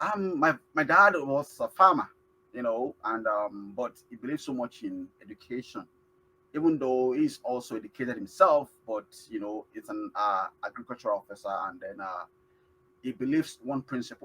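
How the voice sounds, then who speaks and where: A man speaks with a Nigerian accent. His loudness swings widely from moment to moment. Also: moderate pace. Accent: Nigerian (Yoruba) English. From Nigeria (Yoruba). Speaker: award-winning immigrant. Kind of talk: interview. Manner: halting, many fillers.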